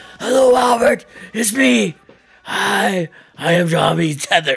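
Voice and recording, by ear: A put-on character voice, raspy, at a middle pitch and a fairly slow pace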